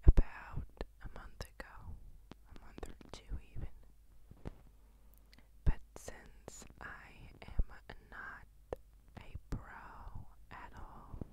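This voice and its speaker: Loud background noise runs behind a woman's dry voice with no echo. She speaks very slowly, with long, frequent pauses. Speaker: ASMR creator. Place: home room. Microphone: handheld.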